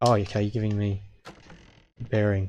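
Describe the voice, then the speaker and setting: Somewhat breathy, a man speaks at a fairly low pitch with fairly even intonation. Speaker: game streamer. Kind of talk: live gameplay commentary. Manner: slurred words.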